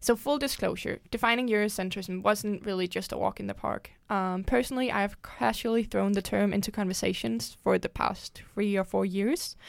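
A woman with a Danish accent at a moderate pace, hardly any pauses, in a very clean recording with a silent background. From Denmark. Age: 20s. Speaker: student podcast host. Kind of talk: casual podcast discussion.

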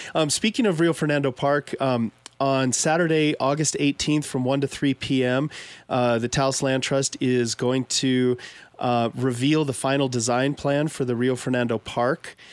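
With an American accent and an unremarkable speaking voice, the speaker keeps a moderate pace, very even loudness, and fairly even intonation in a dry, close sound with no echo. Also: man, medium pitch for a man. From Pueblo, Colorado. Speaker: radio host, land trust staff. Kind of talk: community announcement; radio interview. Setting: radio studio.

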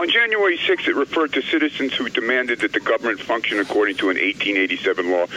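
Talking at a very fast pace with hardly any pauses, a man keeps his loudness very even over noticeable background noise. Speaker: caller. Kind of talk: radio call-in. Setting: phone call.

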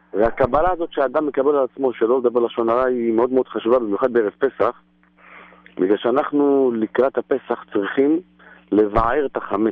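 At a moderate pace, a man speaks with a medium pitch, ordinary pitch variation, and a normal speaking voice. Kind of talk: Torah talk. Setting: phone call.

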